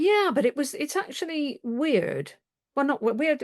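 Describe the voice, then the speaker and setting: Against a quiet background, a woman's voice comes through dry and close with no echo. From Cornwall, West Country, England. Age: 70s. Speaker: retired civil servant. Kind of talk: casual chat. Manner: hesitant, many fillers.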